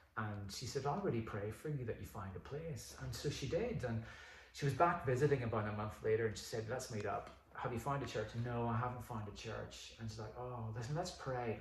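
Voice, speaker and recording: A man with a Northern Irish accent speaks at a moderate pace, his medium pitch showing ordinary variation. Noticeable background noise and audible room echo are in the recording. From Northern Ireland. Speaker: pastor. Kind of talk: casual chat.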